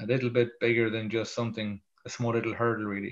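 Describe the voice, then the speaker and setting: The speaker has an Irish accent. The pace is fairly quick. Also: man. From Ireland. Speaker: motivational speaker. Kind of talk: interview storytelling. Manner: halting, with frequent repetitions.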